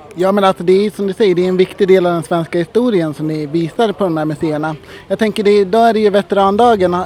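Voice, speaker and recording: A man speaks at a very fast pace in a high pitch with ordinary pitch variation, and noticeable background noise is present. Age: 30s. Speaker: podcast host. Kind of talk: interview.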